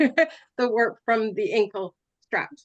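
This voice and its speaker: Her fairly high-pitched voice carries vocal fry and very wide pitch swings as a woman speaks with a dry, close sound with no echo. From Canada. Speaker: hobby weaver, guild member. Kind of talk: show and tell presentation. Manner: halting, many fillers.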